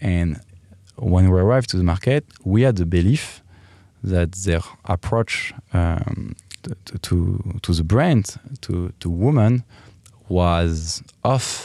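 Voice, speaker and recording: A man with a French accent speaks very slowly, with long, frequent pauses and ordinary pitch variation. His voice is very deep and low, dark and mellow in tone. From France, Paris. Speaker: lingerie company executive. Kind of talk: interview. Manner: halting.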